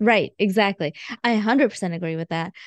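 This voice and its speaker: In an ordinary speaking voice with an American accent, a woman talks at a fairly quick pace and medium pitch, with ordinary pitch variation, over a quiet background in a dry, close sound with no echo. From India, then Georgia (US South). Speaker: physician and personal finance writer. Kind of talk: interview conversation.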